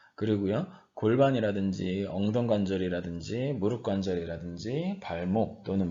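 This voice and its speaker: There is audible room echo around a man speaking at a fairly low pitch with ordinary pitch variation. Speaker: university professor. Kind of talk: lecture. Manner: slower than usual today.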